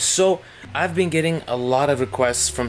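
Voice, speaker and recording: There is music in the background while the man talks. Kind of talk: casual vlog chat. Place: workshop. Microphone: phone near.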